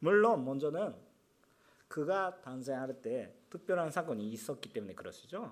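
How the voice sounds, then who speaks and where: A man with a fairly high voice speaks fairly slowly, his pitch swinging very widely. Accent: Japanese. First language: Japanese (speaking Korean). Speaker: pastor. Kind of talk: sermon. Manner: halting.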